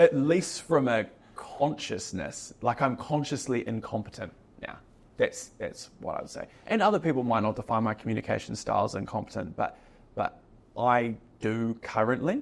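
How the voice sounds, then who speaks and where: A man speaks with a New Zealand accent. His pace is moderate. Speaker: business owner. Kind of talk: podcast interview. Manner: hesitant, many filler words.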